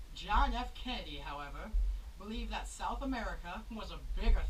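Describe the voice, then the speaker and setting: Her delivery is fairly quick. Background noise can be clearly heard behind this woman. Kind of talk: mock TV newscast.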